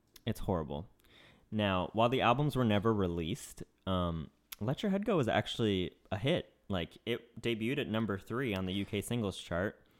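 This man talks with an American accent at a fairly quick pace. His pitch is fairly low, with ordinary pitch variation. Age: 30s. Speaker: podcast co-host. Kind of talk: casual chat. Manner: fast, frantic.

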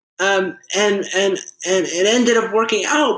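A man with a high pitch at a very slow pace. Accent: American. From Massachusetts, Fairhaven. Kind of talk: casual interview.

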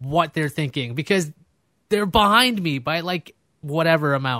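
A man with an American accent speaks at a moderate pace in a fairly high, bright, sharp voice, his intonation lively and his tone animated, on a very clean recording with a silent background and a dry, close sound with no echo. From Queens, New York City. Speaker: podcast host. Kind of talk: casual chat. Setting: studio with camera and microphone.

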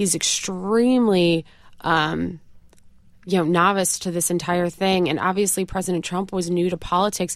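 A woman with a slight upstate New York accent speaks at a moderate pace and a fairly low pitch. Her intonation is fairly even, and the recording is very clean with a silent background. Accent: slight upstate New York twang. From upstate New York, Rochester. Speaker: campaign spokesperson. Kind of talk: interview. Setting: studio.

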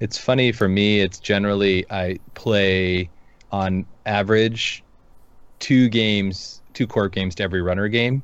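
Against a quiet background, a normal speaking voice with an American accent moves at a fairly slow pace with fairly even intonation. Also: man, fairly low pitch for a man. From Seattle area, US. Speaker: podcast co-host. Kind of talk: casual chat. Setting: live stream.

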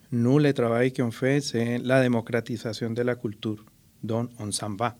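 A man with a Spanish accent speaks at a medium pitch. His pace is fairly slow and his intonation fairly even. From Colombia. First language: Spanish (speaking French). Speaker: artist and cultural mediator. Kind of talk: interview.

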